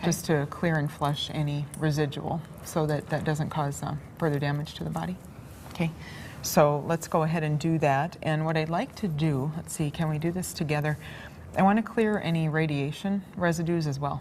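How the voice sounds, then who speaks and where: A woman's very deep, low voice, somewhat breathy, with fairly even intonation at a moderate pace. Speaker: alternative-therapy practitioner giving a demonstration session. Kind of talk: instructional demonstration to a subject. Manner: soft-spoken, calm.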